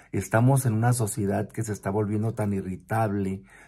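The man's voice is somewhat breathy, with a dark, mellow tone. His intonation stays fairly even. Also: quiet background. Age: 50s. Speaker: vlogger who works with children; vlogger. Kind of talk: personal reflection monologue. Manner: hesitant, with fillers and repetitions. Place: home room. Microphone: phone near.

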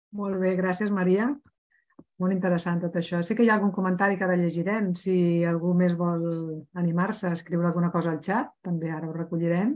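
A woman speaks in a normal speaking voice at a fairly quick pace. Her pitch is fairly low and her intonation fairly even. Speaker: webinar organizer/moderator. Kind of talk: webinar introduction. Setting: video call webinar.

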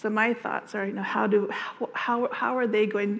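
The voice has an American accent, flat monotone intonation, and vocal fry. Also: woman. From Navajo Nation, Arizona. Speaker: state agency director. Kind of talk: conference panel talk. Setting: stage with audience. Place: meeting room.

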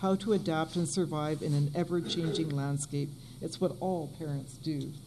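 A woman's dark, mellow tone at a moderate pace, with ordinary pitch variation.

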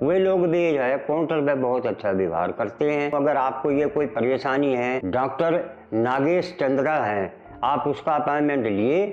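Faint music plays behind a man speaking at a fairly slow pace. His intonation is lively and his loudness stays very even. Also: fairly high pitch for a man. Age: 70s. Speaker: patient giving testimonial. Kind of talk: testimony. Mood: grateful, warm.

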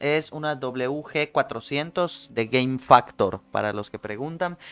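In a Mexican accent, a man talks with lively intonation and an animated, bright, sharp tone. The sound is dry, with no echo. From Mexico. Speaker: podcast host. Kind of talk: casual chat. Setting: livestream with webcam. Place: home room. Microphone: studio mic.

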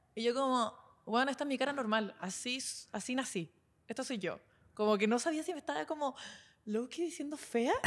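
Lively intonation at a fairly quick pace. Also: woman, high pitch for a woman. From southern Chile, Puerto Montt area; Chile. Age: 20s. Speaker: internet personality; podcast co-host. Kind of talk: casual chat. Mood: playful storytelling, gossip. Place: studio. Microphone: handheld.

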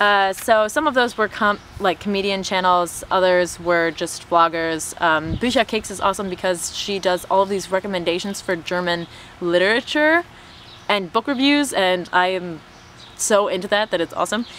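A woman at a moderate pace, with ordinary pitch variation, a dry sound with no echo, and light background noise. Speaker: YouTuber and language tutor. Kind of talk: casual chat. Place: garden.

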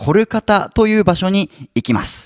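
Speaking at a moderate speed, a man is heard over a quiet background. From Japan. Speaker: YouTuber explaining history topics. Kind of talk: educational lecture-style monologue. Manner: frequent fillers and sentence-final ね. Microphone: handheld.

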